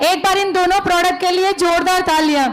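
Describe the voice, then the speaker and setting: Noticeable background noise sits behind the recording. A woman speaks in a flat, monotone way. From Rajasthan, Barmer. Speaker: product testimonial giver. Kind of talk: testimony.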